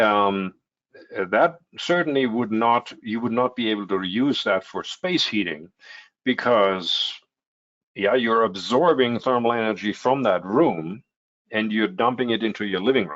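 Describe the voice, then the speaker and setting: A man with a German accent, medium in pitch, at a fairly slow pace. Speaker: heat pump company representative. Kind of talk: webinar Q&A answer. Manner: hesitant with many fillers.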